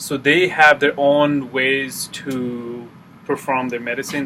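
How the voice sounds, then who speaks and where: A man with a medium pitch speaks at a fairly slow pace with fairly even intonation. Noticeable background noise sits behind him. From Nepal, rural village. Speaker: student. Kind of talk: class presentation. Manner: halting.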